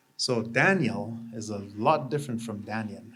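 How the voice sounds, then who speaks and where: A man talks at a medium pitch, varying it in an ordinary way, while room echo is audible. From Canada, Anishinaabe First Nation. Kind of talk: ceremonial talk to audience. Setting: exhibit opening with live audience.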